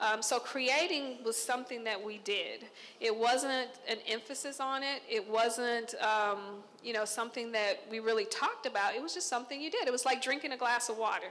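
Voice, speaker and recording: A woman's high-pitched, bright, sharp voice with an American accent, ordinary pitch variation and a moderate pace. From Texas, Conroe; Texas. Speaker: visual artist. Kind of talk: artist talk to an audience. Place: hall. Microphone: handheld.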